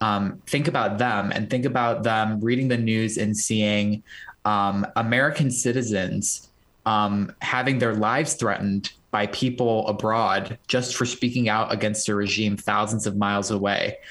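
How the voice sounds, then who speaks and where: In a normal speaking voice, a man talks at a moderate pace with a fairly low pitch, fairly even intonation and very even loudness. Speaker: student and pro-democracy activist. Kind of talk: remote interview.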